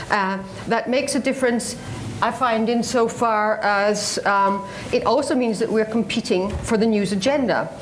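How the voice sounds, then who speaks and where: Amid noticeable background noise and audible room echo, a woman speaks at a fairly high pitch with ordinary pitch variation. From Scotland. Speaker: radio journalist. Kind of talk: panel talk.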